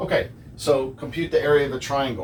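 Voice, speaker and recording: Audible room echo surrounds a man's fairly high voice. He speaks at a fairly quick pace with ordinary pitch variation. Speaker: math teacher. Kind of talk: lecture. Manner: many fillers.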